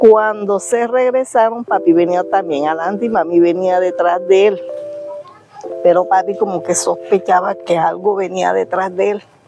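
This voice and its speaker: Over music in the background, a woman speaks at a fairly slow pace and medium pitch with fairly even intonation. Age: 60s. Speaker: interviewee, family member. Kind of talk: testimony.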